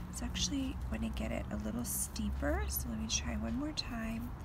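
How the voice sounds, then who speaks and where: Soft-spoken and relaxed, a woman talks in a very deep, low voice with a calm tone at a fairly slow pace. Her intonation stays fairly even over noticeable background noise. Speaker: artist and designer. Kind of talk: craft tutorial, casual talk to camera. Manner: relaxed, calm. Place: garden. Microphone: phone near.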